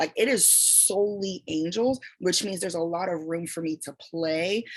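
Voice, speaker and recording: Her pitch is fairly low for a woman. She talks at a moderate pace with ordinary pitch variation. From raised in the United States, born in Toronto. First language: French. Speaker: fantasy author. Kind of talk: online writing workshop. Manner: casual, conversational.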